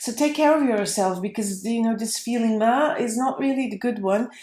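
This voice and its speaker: A woman's fairly high voice with a non-native accent, ordinary pitch variation and a moderate pace. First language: not English. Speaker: tarot reader. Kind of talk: tarot reading. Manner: halting, with fillers.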